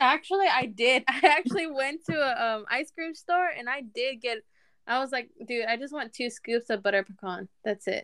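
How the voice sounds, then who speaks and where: A woman's bright, sharp voice carries lively intonation. She speaks at a moderate pace. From Latin American heritage, US. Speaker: personal banker. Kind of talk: casual chat. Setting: video call.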